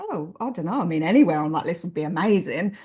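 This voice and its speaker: Speaking at a fairly quick pace with lively intonation, a woman sounds somewhat breathy with an English accent. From England, small town. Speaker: author. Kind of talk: interview.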